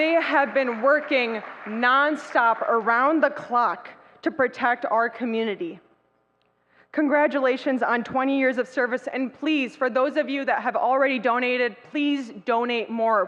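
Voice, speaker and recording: With a high pitch and ordinary pitch variation, a woman talks at a fairly slow pace. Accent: American. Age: 20s. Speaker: state legislator. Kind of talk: speech. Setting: banquet hall with audience. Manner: impassioned.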